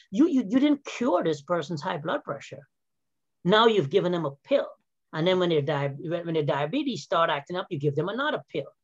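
Pitched high, a man talks at a fairly quick pace with very wide pitch swings. The sound is dry and close with no echo. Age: 50s. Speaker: health and wellness coach, former physical therapist. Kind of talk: casual interview. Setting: video call.

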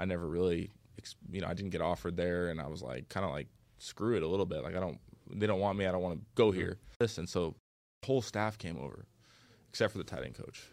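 A man with an American accent, very deep and low in pitch, with vocal fry, ordinary pitch variation, a very fast pace and long, frequent pauses, in a very clean recording with a silent background. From US Pacific Northwest (Bellevue, Washington). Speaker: pro football player. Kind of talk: casual chat.

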